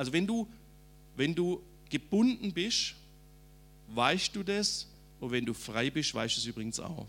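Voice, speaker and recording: With vocal fry and a fairly high pitch, a man speaks at a fairly slow pace with very wide pitch swings and long, frequent pauses. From Swabia, southern Germany (Rems valley). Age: 50s. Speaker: preacher. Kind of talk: testimony.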